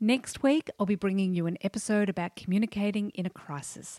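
Recorded very cleanly against a silent background, with a dry, close sound and no echo, the speaker uses an Australian accent, a moderate pace and ordinary pitch variation. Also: woman. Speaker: podcast host. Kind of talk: interview.

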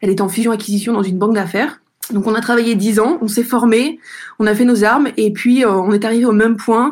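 This woman has an unremarkable speaking voice, fairly high in pitch, and talks at a fairly quick pace. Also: fairly even intonation, very even loudness. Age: 30s. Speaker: entrepreneur. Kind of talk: testimony.

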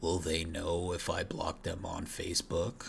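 Over clear background noise, a man puts on a character voice with a very deep, low pitch and a moderate pace. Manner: groaning, repetitive.

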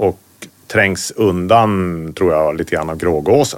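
A man's very deep, low voice with lively intonation and a northern Swedish accent. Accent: northern Swedish, noticeable. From Västerbotten, northern Sweden. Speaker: hunter and hunting writer. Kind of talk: casual interview.

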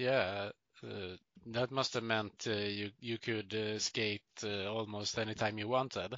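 Speaking very slowly with a Swedish accent, a man keeps his fairly low voice monotone and flat. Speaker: podcast host. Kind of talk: casual interview.

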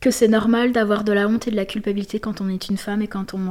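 With a fairly high pitch, a woman speaks in a dark, mellow tone and monotone, flat intonation. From southern France, Marseille. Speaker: gender researcher and feminist activist. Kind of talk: interview. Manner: hesitant, many fillers.

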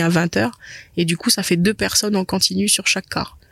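A woman's medium-pitched voice at a fairly quick pace, fairly even in intonation, dry and close with no echo, on a very clean recording with a silent background. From New Caledonia, Païta. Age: 20s. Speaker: business owner. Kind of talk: interview. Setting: cinema hall. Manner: halting, many repetitions.

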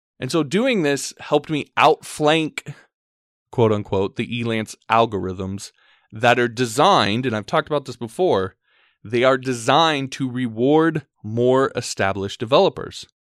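A man speaks at medium pitch in a normal speaking voice. The recording is very clean and dry, close, with no echo and a silent background. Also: lively intonation, moderate pace. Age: 30s. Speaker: podcast host and freelance web developer. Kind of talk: solo podcast monologue.

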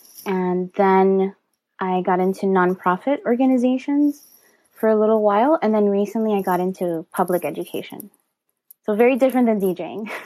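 A woman speaks with a Miami accent and a dark, mellow tone. Her pitch varies in an ordinary way. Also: medium pitch for a woman, moderate pace. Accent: Miami American English. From US, Miami, Florida. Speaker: DJ. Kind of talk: interview conversation. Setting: home studio, remote call.

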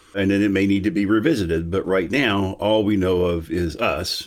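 The recording is very clean, with a silent background, and a man speaks in a plain, everyday voice. His pitch is fairly low, his pace moderate and his intonation fairly even. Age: 60s. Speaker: philosophy professor. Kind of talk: casual interview.

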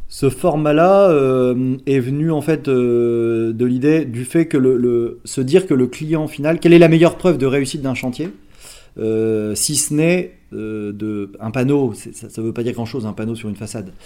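Fairly slow pace from a man with a medium pitch, ordinary pitch variation and a dark, mellow tone. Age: 40s. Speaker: startup founder. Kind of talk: interview. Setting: company office. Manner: hesitant, with frequent fillers.

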